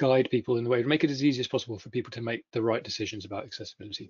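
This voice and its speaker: This man speaks at a very fast pace with a British accent. The background is quiet. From United Kingdom. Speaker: software company founder and CTO; conference presenter. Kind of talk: conference presentation. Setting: video webinar. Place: home room. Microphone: video call.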